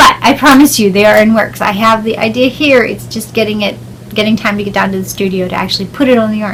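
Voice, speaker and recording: Talking at a very fast pace, a woman with an American accent keeps a fairly high pitch and fairly even intonation over noticeable background noise. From southwestern Pennsylvania. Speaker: podcaster and indie yarn dyer. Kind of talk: casual podcast monologue.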